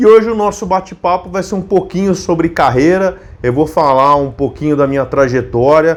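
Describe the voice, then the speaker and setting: Speaking in a São Paulo accent, a man with a high pitch talks at a moderate pace with lively intonation. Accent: paulistano. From São Paulo city, Brazil (partly Monte Alto, interior SP). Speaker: YouTuber, biomedical scientist. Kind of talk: casual vlog chat. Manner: hesitant, many fillers.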